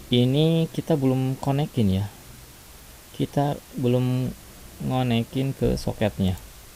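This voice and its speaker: A man's dark, mellow voice at a very slow pace, with long, frequent pauses. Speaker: programming tutorial youtuber. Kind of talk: coding tutorial. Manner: casual, with fillers and self-corrections.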